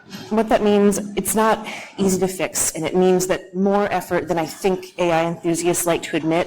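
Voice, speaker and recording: This is a woman speaking with an American accent. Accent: flat American. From United States. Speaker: security engineer, conference speaker. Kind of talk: conference talk.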